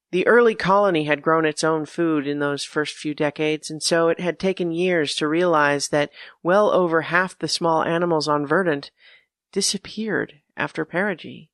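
A woman with an unremarkable speaking voice and fairly low pitch talks at a moderate pace against a quiet background, with a dry, close sound and no echo. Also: fairly even intonation. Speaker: story narrator. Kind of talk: reading aloud.

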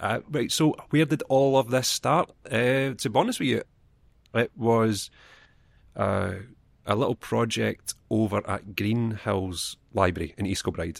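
In a Scottish accent, a man talks at a medium pitch and a fairly slow pace with vocal fry and ordinary pitch variation. The recording is very clean, with a silent background and a dry, close sound with no echo. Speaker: library children's assistant. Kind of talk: casual chat.

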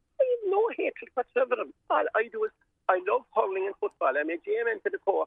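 A man with a Cork accent talks at a fairly quick pace. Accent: Cork Irish. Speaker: volunteer sports steward. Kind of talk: radio interview. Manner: animated.

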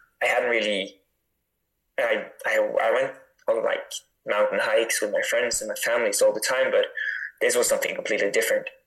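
A man speaks at a fairly quick pace in a Norwegian accent. His delivery has long, frequent pauses. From northern Norway (Tromsø). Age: 20s. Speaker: mountain runner. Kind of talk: interview.

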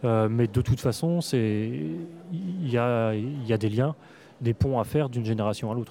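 A man with a normal speaking voice, medium pitch, ordinary pitch variation, very even loudness and a fairly slow pace. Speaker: comics writer and critic. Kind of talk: interview. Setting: comics festival.

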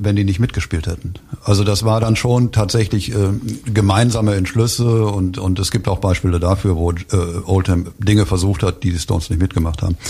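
At a moderate pace, a man with a fairly low pitch speaks with fairly even intonation amid noticeable background noise. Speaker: author and publisher. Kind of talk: interview about his book. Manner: halting with many fillers.

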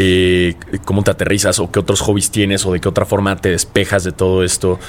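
Noticeable background noise sits behind this recording. A man speaks over it at a fairly quick pace in a fairly low voice. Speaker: podcast host. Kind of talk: casual interview.

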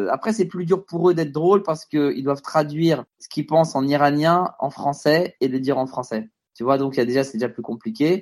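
Using an ordinary speaking voice, a man talks at a fairly quick pace with a fairly high pitch and lively intonation. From France, Stains (Paris suburbs). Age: 30s. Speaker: comedian. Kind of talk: casual interview. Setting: Skype call.

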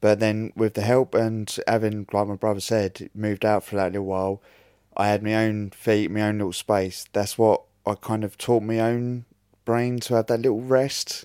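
A man's fairly low, dark, mellow voice in a Norfolk accent, with monotone, flat intonation and a dry, close sound with no echo on a very clean recording with a silent background. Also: moderate pace. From Great Yarmouth, Norfolk, England. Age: 30s. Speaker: brain injury survivor. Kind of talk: interview. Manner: halting.

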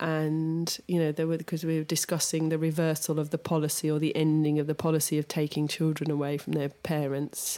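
The voice is dark and mellow, monotone and flat, with very even loudness. It moves at a fairly quick pace with hardly any pauses. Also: woman, very deep, low pitch for a woman. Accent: English. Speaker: podcast co-host, designer. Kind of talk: casual chat.

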